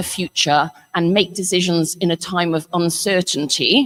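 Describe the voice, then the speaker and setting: In an English accent, a woman speaks at a fairly slow pace and a fairly low pitch, the sound dry and close with no echo. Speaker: panel moderator, head of a futures organisation. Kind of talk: conference panel introduction. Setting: conference hall with audience, livestreamed.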